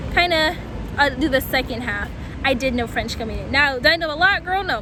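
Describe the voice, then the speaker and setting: A woman with an American accent, amid noticeable background noise and audible room echo. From US Mid-Atlantic (DC, Maryland, northern Virginia). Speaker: vlogger. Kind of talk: casual Q&A vlog. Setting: outdoors. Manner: animated.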